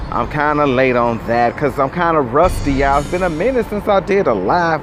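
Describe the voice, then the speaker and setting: Music plays in the background as a man speaks in a fairly high pitch. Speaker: YouTube vlogger. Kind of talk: casual vlog monologue. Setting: outdoors at night. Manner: animated.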